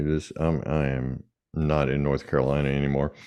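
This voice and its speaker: At a moderate pace, a man with a Southern US accent talks in a very deep, low pitch with fairly even intonation. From US South. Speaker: executive coach and author. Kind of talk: podcast interview. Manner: casual, hesitant fillers.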